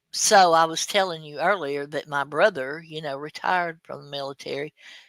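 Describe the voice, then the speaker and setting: Spoken in an Alabama accent at a fairly quick pace, this is a very clean recording with a silent background. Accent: US Southern (Alabama). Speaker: live stream host. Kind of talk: casual chat. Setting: live stream. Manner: halting, many fillers.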